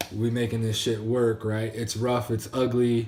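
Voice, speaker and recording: A man with a medium pitch and a dark, mellow, somewhat breathy tone is heard with audible room echo. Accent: American. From Maryland, US. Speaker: entrepreneur vlogger. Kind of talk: casual video diary monologue. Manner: fast when ranting; casual, lots of fillers.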